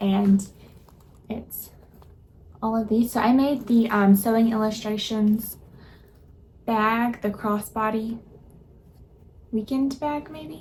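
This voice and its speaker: Very slowly and with long, frequent pauses, a woman speaks in a fairly high, somewhat breathy voice. Her intonation is fairly even, while her loudness swings widely. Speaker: sewing vlogger. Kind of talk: casual vlog.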